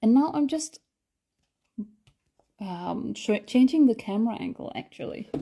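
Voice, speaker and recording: At a moderate pace, a high-pitched woman speaks with lively intonation, big swings in loudness, and long, frequent pauses. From Denmark. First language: Danish. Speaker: artist and art instructor. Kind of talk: live-stream painting tutorial. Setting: live stream. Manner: hesitant, many fillers.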